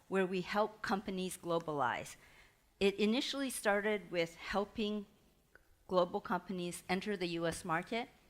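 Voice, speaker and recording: A woman's medium-pitched voice with a Chinese accent, at a moderate pace with ordinary pitch variation, on a very clean recording with a silent background. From Taiwan. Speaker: entrepreneurship consultant and guest lecturer. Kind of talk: lecture.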